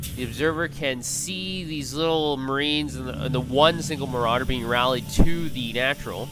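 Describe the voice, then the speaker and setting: A man's fairly high-pitched voice at a moderate pace, with fairly even intonation, hardly any pauses, and music in the background. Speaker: esports shoutcaster. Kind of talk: esports game commentary.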